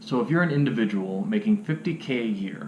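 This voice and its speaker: A man talks at a fairly quick pace with very wide pitch swings, amid noticeable background noise and audible room echo. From Cleveland, Ohio. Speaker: vlogger. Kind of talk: casual vlog monologue. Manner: fast.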